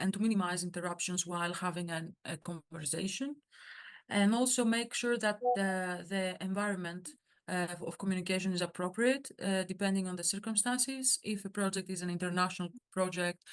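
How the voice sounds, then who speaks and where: A woman at medium pitch with a Greek accent, speaking at a moderate pace with fairly even intonation against a quiet background. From Greece. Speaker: workshop speaker, surgical student organization member. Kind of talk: workshop talk. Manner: halting, many fillers.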